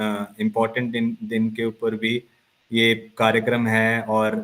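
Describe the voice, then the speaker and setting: This is a man speaking at a medium pitch. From Punjab, India. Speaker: sports psychologist. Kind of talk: lecture. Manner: halting, many fillers.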